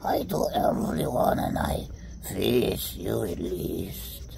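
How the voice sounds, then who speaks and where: A man performs in a put-on character voice at a very slow pace. Loud background noise runs underneath. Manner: playful, comic.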